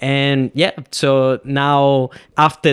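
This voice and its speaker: In a Venezuelan accent, a man speaks at a fairly high pitch, with a dry, close sound and no echo. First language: Spanish. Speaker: podcast host and filmmaker. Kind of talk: solo podcast monologue. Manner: casual, conversational.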